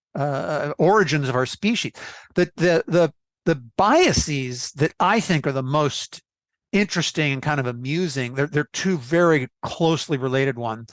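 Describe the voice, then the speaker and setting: In an ordinary speaking voice, a man talks at a moderate pace and fairly high pitch with ordinary pitch variation, the sound dry and close with no echo against a quiet background. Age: 60s. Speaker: investment expert and author. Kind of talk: interview.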